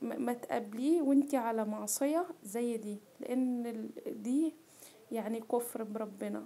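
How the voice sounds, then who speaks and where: With an Egyptian accent, a woman talks at a fairly slow pace in a high pitch, her tone dark and mellow and her pitch variation ordinary. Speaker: cooking vlogger. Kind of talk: personal testimony vlog. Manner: halting.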